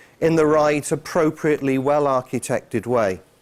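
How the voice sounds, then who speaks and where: In a British accent, a man speaks at a fairly slow pace with a fairly high pitch. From England. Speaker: conference speaker, IT enterprise architect. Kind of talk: conference talk. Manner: hesitant, many fillers.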